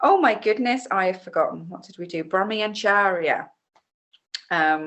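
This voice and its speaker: A woman speaks with an English Midlands accent. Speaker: yoga teacher. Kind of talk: casual instructional talk. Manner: relaxed with many fillers.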